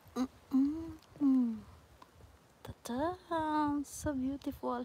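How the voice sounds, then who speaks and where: Soft-spoken and high-pitched, a woman speaks at a very slow pace. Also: fairly even intonation. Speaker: nature live streamer. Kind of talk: live stream nature walk chat. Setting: outdoors in a forest.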